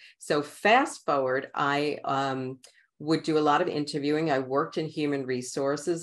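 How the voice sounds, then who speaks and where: A woman talks at a moderate pace with a very deep, low pitch. The background is quiet. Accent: New York. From New York City, Queens. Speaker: author and coach. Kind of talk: interview podcast.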